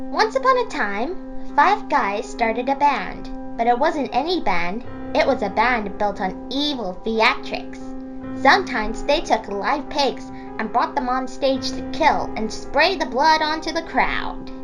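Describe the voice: Loud music plays in the background as a female-sounding voice, high-pitched and in a put-on character voice, speaks at a fairly slow pace.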